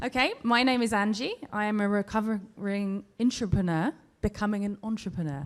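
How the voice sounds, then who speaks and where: A woman with a British accent, medium pitch, ordinary pitch variation and a moderate pace. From Britain. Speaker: audience member asking question; entrepreneur. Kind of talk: audience question. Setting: live event with audience.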